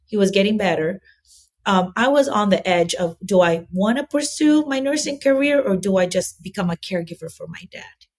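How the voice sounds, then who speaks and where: Somewhat breathy and at medium pitch, a woman speaks at a moderate pace with an American accent and lively intonation. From Philippines. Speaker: nurse and assisted living business owner. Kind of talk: interview. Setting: podcast. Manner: animated.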